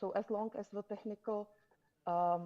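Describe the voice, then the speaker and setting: In a Czech accent, a woman with a medium pitch speaks with fairly even intonation and a dark, mellow tone. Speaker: conference panelist. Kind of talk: panel discussion.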